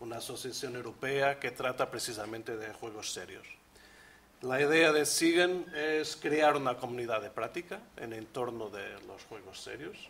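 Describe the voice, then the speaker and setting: A man with a Portuguese accent speaks in big swings of loudness over noticeable background noise. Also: medium pitch for a man, ordinary pitch variation, moderate pace. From Portugal, Porto. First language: Portuguese (speaking Spanish). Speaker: researcher, leader of a European project. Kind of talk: conference presentation.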